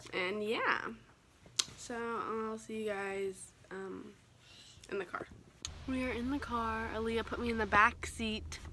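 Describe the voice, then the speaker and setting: Over light background noise, a woman speaks at a fairly slow pace with monotone, flat intonation and long, frequent pauses. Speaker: vlogger. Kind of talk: casual vlog chat. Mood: playful, goofy.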